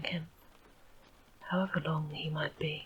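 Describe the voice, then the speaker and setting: Soft-spoken, a woman talks at a moderate pace against noticeable background noise. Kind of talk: audiobook reading.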